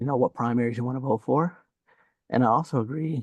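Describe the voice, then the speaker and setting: Soft-spoken, a man talks at medium pitch and a fairly quick pace with fairly even intonation, in a dry, close sound with no echo. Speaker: audience member, veteran. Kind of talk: casual discussion. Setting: video call from office.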